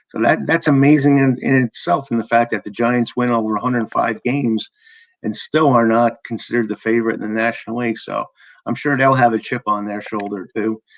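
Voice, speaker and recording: In an ordinary speaking voice at medium pitch, a man talks at a fairly quick pace with fairly even intonation, in a dry, close sound with no echo and a quiet background. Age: 60s. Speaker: podcast host. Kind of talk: casual chat.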